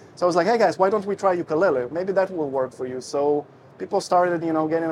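A man at a fairly high pitch and a very fast pace, with noticeable background noise. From Russia and Israel. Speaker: ukulele teacher and musician. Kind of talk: casual interview chat.

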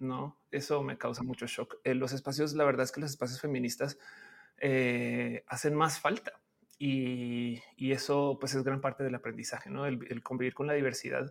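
At a moderate pace, a man speaks at medium pitch with monotone, flat intonation. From Colombia, Bogotá. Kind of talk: interview.

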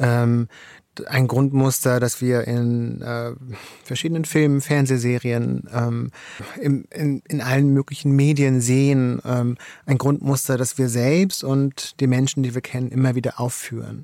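A man's medium-pitched, dark and mellow voice, flat and monotone, at a fairly slow pace. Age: 40s. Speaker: author. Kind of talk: interview. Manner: hesitant, many fillers.

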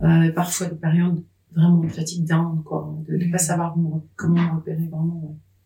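A woman's fairly low, somewhat breathy voice, dark and mellow in tone, with monotone, flat intonation at a moderate pace. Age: 50s. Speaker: menopause author and social media account holder. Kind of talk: casual interview conversation. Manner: smiling.

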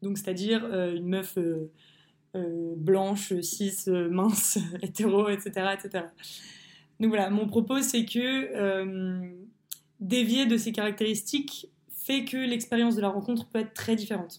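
Her medium pitch shows ordinary pitch variation as this woman speaks at a very slow pace with long, frequent pauses. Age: 20s. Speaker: student sharing personal testimony. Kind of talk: testimony. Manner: hesitant with fillers.

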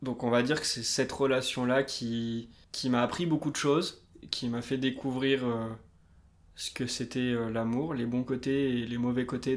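A man with a medium pitch speaks at a fairly slow pace in an unremarkable speaking voice. His intonation stays fairly even. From France, Limousin. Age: 20s. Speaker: banker. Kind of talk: casual interview.

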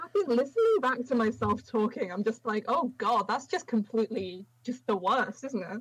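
A woman's fairly high voice with a slightly husky edge, lively intonation and a moderate pace.

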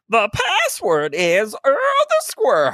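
Very slow pace in a put-on character voice. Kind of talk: old-fashioned, formal.

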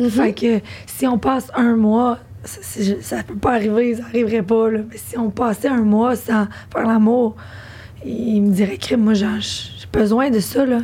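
A woman's fairly high-pitched, fairly slow speech with noticeable background noise. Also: fairly even intonation. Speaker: podcast host. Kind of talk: casual chat.

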